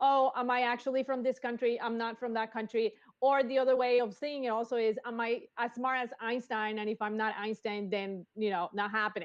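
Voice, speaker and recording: Speaking at a fairly quick pace, a woman has a fairly high-pitched voice. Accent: Spanish. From Colombia. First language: Spanish. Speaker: engineer. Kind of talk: interview. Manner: energetic.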